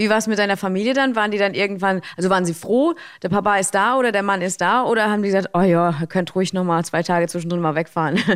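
A woman talks at a very fast pace with hardly any pauses. Her pitch varies in an ordinary way. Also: medium pitch for a woman. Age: 30s. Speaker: radio host. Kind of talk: interview.

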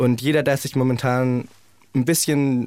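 A man talks with medium pitch and fairly even intonation. He has a plain, everyday voice. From Germany, Heidelberg. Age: 20s. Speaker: singer in a band. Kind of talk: radio interview.

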